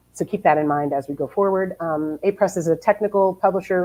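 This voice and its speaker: Very fast speech from a woman with a New Jersey accent, a fairly low pitch, and fairly even intonation. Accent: New Jersey American. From New Jersey, US. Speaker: publishing editor. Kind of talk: webinar presentation.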